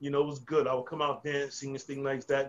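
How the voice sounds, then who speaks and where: A man talks with an American accent. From New Jersey and North Carolina, US. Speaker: former pro wrestler and trainer. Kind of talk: casual interview chat. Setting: video call.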